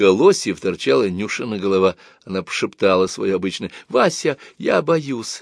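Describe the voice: Plain reading aloud comes through here with lively intonation.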